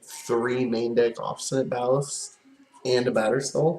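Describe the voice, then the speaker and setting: Quietly and at a moderate pace, a man talks at medium pitch with fairly even intonation. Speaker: game streamer. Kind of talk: gameplay commentary. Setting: at home. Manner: halting.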